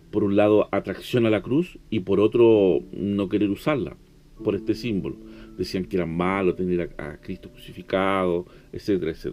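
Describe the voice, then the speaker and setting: At a moderate pace, a man speaks in a fairly low voice with a dark, mellow tone. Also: ordinary pitch variation. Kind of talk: devotional sermon.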